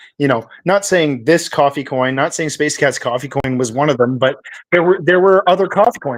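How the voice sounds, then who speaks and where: Here is a plain, everyday voice from a man with a Canadian accent. The pitch is fairly high and varies in an ordinary way. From Canada. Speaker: crypto project founder. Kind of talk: casual interview chat.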